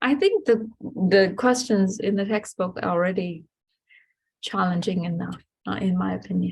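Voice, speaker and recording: Somewhat breathy, a woman speaks at medium pitch. Her pitch varies in an ordinary way. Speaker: math teacher. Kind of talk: lecture. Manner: slow; halting.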